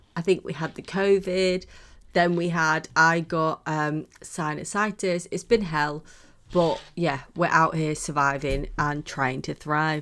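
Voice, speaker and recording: A woman with a British accent, her pitch very deep and low, fairly even intonation, at a very slow pace. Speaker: podcast co-host. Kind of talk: casual chat. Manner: halting.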